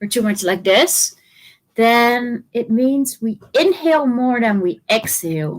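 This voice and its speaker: Speaking with a Dutch accent, a woman uses a fairly high pitch and a fairly slow pace, her pitch swinging very widely. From Netherlands. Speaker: trauma therapist and movement educator. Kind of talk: interview.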